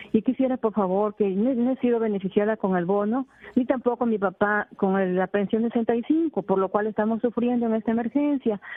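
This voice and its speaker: In a plain, everyday voice, a woman talks with hardly any pauses, very even loudness and ordinary pitch variation. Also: fairly high pitch for a woman, fairly quick pace. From Peru, Tumbes. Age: 60s. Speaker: caller, rural resident. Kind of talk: call-in plea. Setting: phone call to radio.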